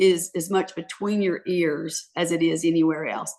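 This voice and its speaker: A woman's plain, everyday voice, fairly low in pitch, with ordinary pitch variation. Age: 60s. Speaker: author. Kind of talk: interview. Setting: podcast.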